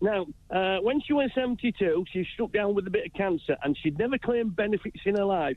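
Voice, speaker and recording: In a Yorkshire accent, the speaker goes at a fairly quick pace with lively intonation and very even loudness. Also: man, high pitch for a man. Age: 60s. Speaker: caller, retired handyman. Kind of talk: phone-in call. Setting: phone call. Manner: chirpy.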